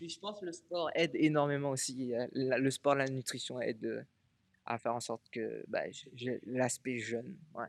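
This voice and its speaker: His pitch sits in the medium range and varies in an ordinary way. The man keeps a moderate pace. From Réunion. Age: 30s. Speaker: Thai boxing athlete and coach. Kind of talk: interview. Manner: halting.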